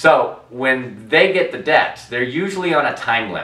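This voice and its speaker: Very wide pitch swings, audible room echo and noticeable background noise. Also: man. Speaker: debt settlement advisor. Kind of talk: educational talk to camera. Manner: fast.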